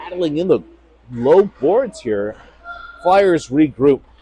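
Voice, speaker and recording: The pitch swings very widely, with noticeable background noise behind the voice. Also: man. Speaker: amateur play-by-play commentator for youth hockey. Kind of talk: live commentary. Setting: cold ice rink.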